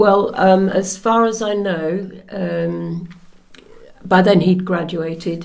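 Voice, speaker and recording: A woman's very slow, fairly low-pitched voice with a dark, mellow tone, fairly even intonation and audible room echo. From Norfolk, England. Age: 70s. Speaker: interviewee, daughter of Polish soldier. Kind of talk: oral history interview. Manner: hesitant.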